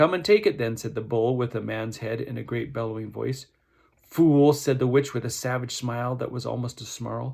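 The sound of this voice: What comes through is an unforced reading voice.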